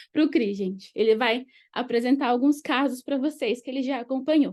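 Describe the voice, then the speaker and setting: High-pitched female speech with normal rise and fall in pitch. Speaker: education lecturer. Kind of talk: lecture.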